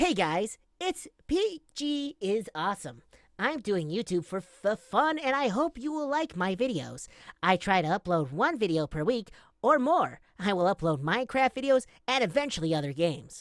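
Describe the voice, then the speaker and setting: Pitched fairly high, a put-on character voice swings very widely up and down. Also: moderate pace, very clean recording, silent background. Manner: entertaining, upbeat.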